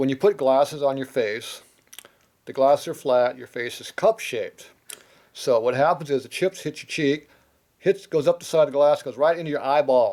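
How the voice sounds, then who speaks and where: A man speaks with an American accent and an unremarkable speaking voice. His pitch is fairly high, with ordinary pitch variation and a moderate pace. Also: big swings in loudness. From United States. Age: 60s. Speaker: machinist. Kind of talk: casual chat. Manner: blunt, profane ranting.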